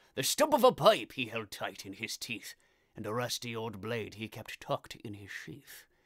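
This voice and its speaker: A man's put-on character voice at a moderate pace. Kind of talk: comic poetry reading.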